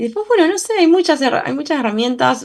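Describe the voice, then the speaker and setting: A woman speaks with lively intonation. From Argentina, Bahía Blanca. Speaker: journalist and political scientist. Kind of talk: interview. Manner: halting, many fillers and restarts.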